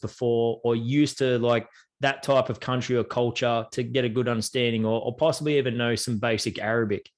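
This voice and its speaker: Fairly quick delivery in an Australian accent, with monotone, flat intonation. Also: man. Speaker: travel podcast host. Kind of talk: podcast interview host. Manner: casual, chatty.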